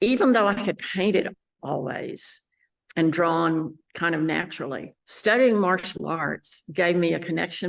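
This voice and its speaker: A woman speaks with a West Texas accent. Her voice carries vocal fry. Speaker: landscape painter. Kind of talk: interview monologue. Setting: art gallery.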